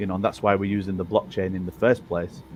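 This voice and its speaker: Music plays in the background while a man speaks. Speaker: game developer. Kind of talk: live Q&A stream. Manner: halting.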